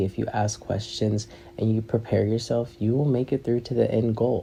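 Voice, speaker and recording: At a fairly quick pace, a man talks in a dark, mellow, somewhat breathy tone, medium in pitch and monotone, flat in intonation. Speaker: podcast host. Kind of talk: casual monologue. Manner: fast.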